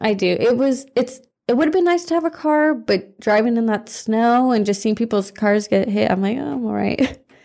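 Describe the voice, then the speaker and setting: Her voice fairly high and her tone dark and mellow, a woman talks at a fairly quick pace with hardly any pauses. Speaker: former youth softball player. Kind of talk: casual chat. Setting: studio.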